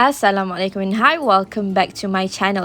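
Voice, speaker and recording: A woman with a Malaysian accent and a medium-pitched voice talks at a fairly quick pace. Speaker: home baker, cooking vlogger. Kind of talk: cooking tutorial. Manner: casual, hesitant with fillers.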